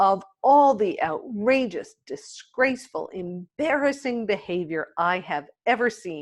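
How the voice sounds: A natural reading voice full of lively intonation over a quiet background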